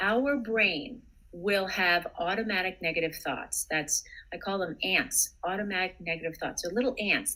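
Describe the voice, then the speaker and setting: The speaker is a woman with a medium pitch and ordinary pitch variation. Her pace is moderate. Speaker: psychotherapist. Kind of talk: interview advice. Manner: calm.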